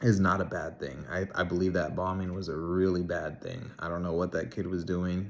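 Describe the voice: A man speaks at a moderate pace in a low pitch, with little pitch movement.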